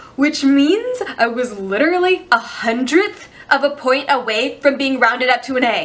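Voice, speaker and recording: A woman's high-pitched, animated voice with very wide pitch swings, amid noticeable background noise. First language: Chinese. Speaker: youtube vlogger. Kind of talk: storytime monologue. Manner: casual, animated; fast.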